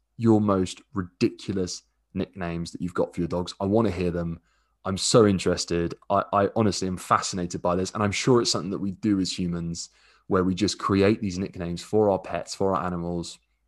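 Over a quiet background, a man with a southern English accent and a very deep, low pitch talks at a fairly quick pace with fairly even intonation. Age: 20s. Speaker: dog daycare owner and podcast host. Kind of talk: casual solo monologue. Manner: relaxed, hesitant with fillers.

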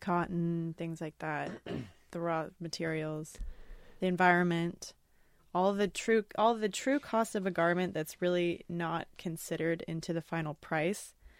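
A woman with a normal speaking voice talks at a fairly low pitch and fairly slow pace, her intonation fairly even but her loudness swinging widely, on a very clean recording with a silent background. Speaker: podcast co-host. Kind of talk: casual chat.

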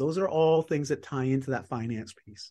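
Over a quiet background, a man with a Canadian accent talks at a moderate pace in a normal speaking voice, medium in pitch with lively intonation. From Canada. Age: 40s. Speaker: author and performance coach. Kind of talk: casual interview chat.

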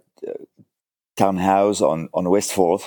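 This man speaks with a French accent in a fairly low voice. His tone is dark and mellow. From south of France. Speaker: furniture restorer and author. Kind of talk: casual interview chat. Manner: hesitant, halting with fillers.

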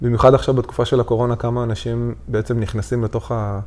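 At a fairly quick pace, a man speaks at a medium pitch with a dark, mellow tone. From Israel, Haifa Krayot. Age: 30s. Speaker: podcast co-host. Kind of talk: casual chat. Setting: recording at home on a couch.

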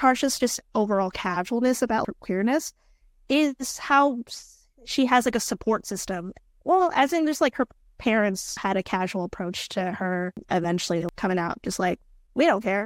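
Speaking at a moderate pace, a woman uses lively intonation and a fairly high pitch. The recording is very clean and silent in the background, with a dry, close sound and no echo. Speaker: podcast guest, gamer. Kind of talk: casual chat. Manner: halting, many fillers.

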